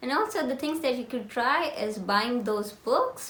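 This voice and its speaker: A high-pitched woman in an Indian accent, very wide pitch swings, moderate pace, audible room echo and noticeable background noise. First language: Hindi. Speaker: lifestyle vlogger. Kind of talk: casual tutorial chat.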